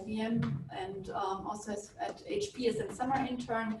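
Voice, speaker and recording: A woman with a German accent speaks at a fairly high pitch, with audible room echo and noticeable background noise. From Germany. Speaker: physicist and research leader. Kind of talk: panel discussion. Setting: stage with audience.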